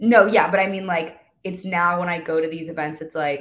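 A woman with a fairly low pitch speaks in an animated tone, her pitch varying in an ordinary way. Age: 20s. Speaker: TikTok influencer and model. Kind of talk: casual chat.

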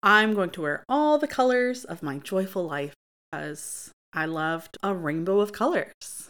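The speaker has a US Midwestern accent and a fairly slow pace. The pitch swings very widely. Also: woman, medium pitch for a woman. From Michigan, US (Grand Ledge, near Lansing). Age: 30s. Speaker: podcast host. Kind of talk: casual monologue.

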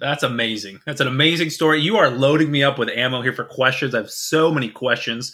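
Ordinary pitch variation marks this man's voice. He talks at a fairly quick pace. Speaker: podcast co-host. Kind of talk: casual chat.

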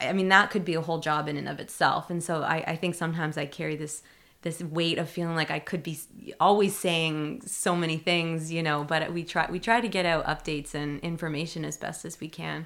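A woman has an unremarkable speaking voice with a Canadian accent. Her fairly low voice moves at a fairly quick pace with fairly even intonation. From Ontario, Canada (outside Toronto). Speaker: city community engagement coordinator. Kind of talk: casual interview.

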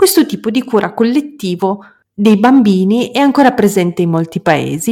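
This woman has an unremarkable speaking voice at a medium pitch with ordinary pitch variation. She talks at a moderate pace. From Moldova. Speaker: podcast host. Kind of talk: solo monologue and interview.

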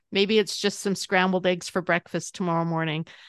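A woman with an American accent speaks at a fairly quick pace and medium pitch, in a dry, close sound with no echo. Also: quiet background. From North Dakota, near the Manitoba border. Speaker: dietitian and cookbook author. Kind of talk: interview. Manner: animated.

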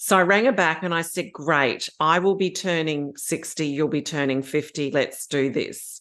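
A woman with an Australian accent, fairly low in pitch with ordinary variation, at a moderate pace with hardly any pauses over a quiet background. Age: 50s. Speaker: aspiring pilgrim. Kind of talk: casual chat.

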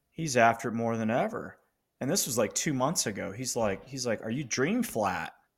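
At a medium pitch and moderate pace, a man with an ordinary speaking voice talks with ordinary pitch variation in a very clean recording with a silent background. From Colorado, US. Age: 50s. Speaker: business coach and author. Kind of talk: casual interview.

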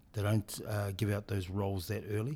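On a very clean recording with a silent background, a man speaks at a fairly low pitch in a dark, mellow tone. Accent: New Zealand. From New Zealand. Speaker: rugby director of rugby. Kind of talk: interview. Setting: in person.

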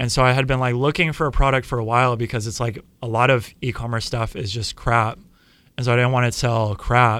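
An unremarkable speaking voice, a man with an American accent talks at a fairly quick pace, medium in pitch with fairly even intonation, on a very clean recording with a silent background. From California, San Diego. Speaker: ocean content creator. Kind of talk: casual interview chat.

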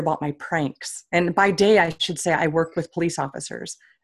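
Speaking with an American accent, a woman uses a fairly low voice and fairly even intonation. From Onalaska, Wisconsin. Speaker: author and humor speaker. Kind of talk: casual interview chat.

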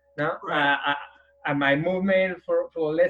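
A man speaks with a strong Spanish accent at a moderate pace. His pitch is high, and his intonation stays fairly even. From Madrid, Spain. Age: 40s. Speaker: guest, para-athlete with spinal cord injury. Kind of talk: interview. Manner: halting, searching for words.

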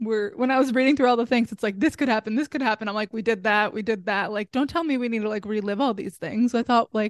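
The woman's pitch sits fairly high, with ordinary variation. Her sound is dry and close, with no echo. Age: 20s. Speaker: podcast co-host and health coach. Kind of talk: casual chat. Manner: animated.

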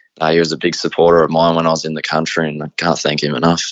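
A man speaks with an Australian accent in a very deep, low voice. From Australia, Riverina (rural New South Wales). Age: 20s. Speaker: harness racing driver. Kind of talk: interview. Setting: remote interview. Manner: halting, many fillers.

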